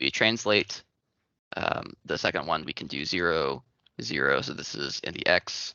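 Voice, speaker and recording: Vocal fry marks a man's very deep, low voice. He moves at a moderate pace with lively intonation. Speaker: student workshop presenter. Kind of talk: tutorial. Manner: hesitant, many fillers.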